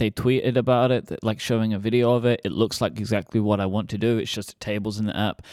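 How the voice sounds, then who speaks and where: This man has a British accent. He talks at a fairly quick pace. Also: very clean recording, silent background. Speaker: podcast co-host. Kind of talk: casual chat. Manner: talkative.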